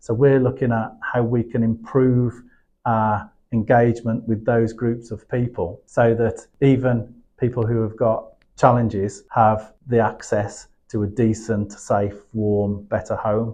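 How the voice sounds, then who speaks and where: Here a man speaks at a medium pitch in a dark, mellow tone. His intonation is flat and monotone. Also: fairly slow pace. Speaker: construction company director. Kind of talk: podcast interview. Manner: halting, with repeated words.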